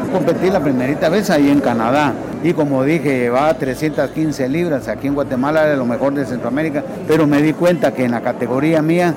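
Audible room echo surrounds a man speaking at a moderate pace, his fairly high voice showing ordinary pitch variation. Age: 60s. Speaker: retired para-powerlifter. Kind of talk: radio interview.

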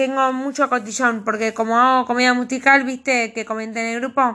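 A woman speaks in a bright, sharp tone with a Rioplatense accent, high in pitch. Her intonation is monotone and flat, at a moderate pace. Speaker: author. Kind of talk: reading aloud.

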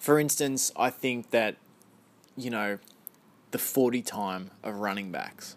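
Very slowly and with long, frequent pauses, a man speaks in an Australian accent at a medium pitch with ordinary pitch variation. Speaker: podcast host. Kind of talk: solo podcast monologue. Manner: informal, chatty.

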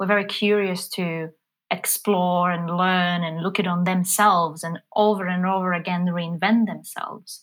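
Speaking at a moderate pace with a Polish accent, a woman uses a medium pitch on a very clean recording with a silent background. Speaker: business forum president. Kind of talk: casual chat.

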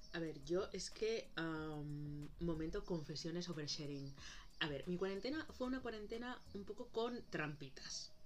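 A woman speaks fairly slowly at a fairly low pitch with lively intonation, amid noticeable background noise and audible room echo. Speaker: podcast co-host. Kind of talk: casual chat.

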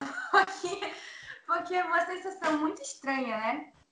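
In a room with audible echo, a woman uses a raised, projected voice. She talks at a fairly slow pace. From Manaus, Amazonas, Brazil. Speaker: singer and singing teacher. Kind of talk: casual chat.

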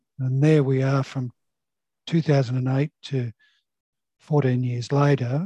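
A man with an Australian accent speaks very slowly at a medium pitch, leaving long, frequent pauses. His intonation is monotone and flat, and his tone is dark, mellow and somewhat breathy. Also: dry, close sound with no echo. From Sydney, Australia (Sutherland Shire). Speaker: surveyor and software sales manager. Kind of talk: casual interview. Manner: halting, many fillers.

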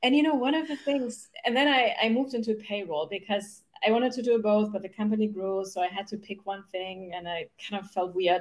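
Talking at a fairly quick pace with a German accent, a woman with a fairly high voice uses lively intonation and big swings in loudness. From Germany. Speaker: human design mentor. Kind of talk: interview. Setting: video call.

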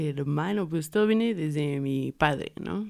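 The woman's pitch is very deep and low, with ordinary pitch variation. She speaks at a fairly slow pace. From Mexico, raised in Puebla. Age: 20s. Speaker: visual artist and tattoo artist. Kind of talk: casual chat. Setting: studio.

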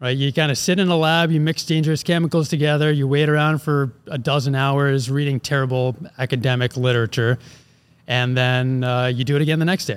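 With an American accent and a normal speaking voice, a man talks at a fairly quick pace and fairly high pitch, keeping fairly even intonation and very even loudness. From Philadelphia, US. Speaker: ag company president, former chemical engineer. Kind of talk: casual interview.

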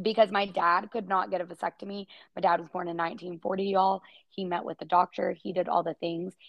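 A plain, everyday voice at a fairly quick pace, with big swings in loudness. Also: woman, medium pitch for a woman, fairly even intonation. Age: 30s. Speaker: podcast co-host, mom. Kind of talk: casual chat.

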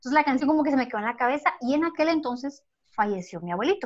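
With a Guatemalan accent, this speaker shows ordinary pitch variation against a quiet background. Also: woman. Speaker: podcast co-host. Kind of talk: casual chat.

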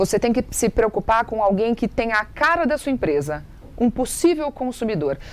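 Her pitch swings very widely. The woman's voice is fairly high. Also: moderate pace. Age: 30s. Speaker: TV presenter and digital influencer. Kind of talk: interview, giving marketing advice.

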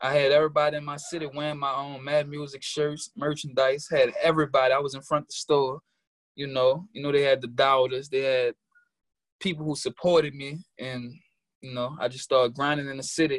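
In a New Orleans accent, a man talks fairly quickly at a fairly high pitch, his intonation monotone and flat while his loudness swings widely. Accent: New Orleans Southern US. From New Orleans, Louisiana. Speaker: rapper, music artist. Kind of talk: casual interview chat. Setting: video call from New York. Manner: casual, slangy.

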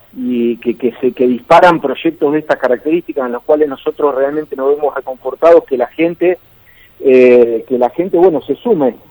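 A man with an Argentine accent and a dark, mellow tone speaks at a fairly high pitch and a moderate pace with ordinary pitch variation, in a dry, close sound with no echo. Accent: Rioplatense Argentine Spanish. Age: 50s. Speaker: former open-water swimmer and sports journalist. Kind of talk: radio interview.

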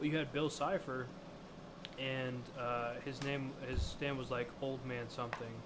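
In an American accent, the speech runs at a fairly slow pace with monotone, flat intonation, against noticeable background noise and audible room echo. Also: man, medium pitch for a man. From United States. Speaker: podcast co-host. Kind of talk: casual chat.

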